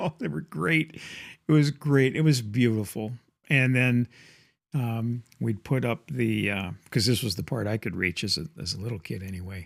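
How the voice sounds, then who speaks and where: In a very clean recording with a silent background, a man with an unremarkable speaking voice talks at a medium pitch and moderate pace with lively intonation. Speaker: grandfather. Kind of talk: nostalgic storytelling to camera.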